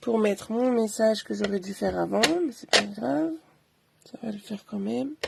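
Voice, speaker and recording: Very wide pitch swings and big swings in loudness mark this moderately paced speech, broken by long, frequent pauses. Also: woman, medium pitch for a woman. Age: 30s. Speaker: craft demonstrator. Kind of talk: live craft tutorial. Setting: livestream. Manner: casual, chatty.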